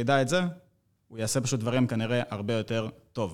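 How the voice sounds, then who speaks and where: On a very clean recording with a silent background, a man with an ordinary speaking voice talks at a medium pitch with fairly even intonation. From Israel. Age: 20s. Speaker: fitness trainer. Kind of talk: casual chat.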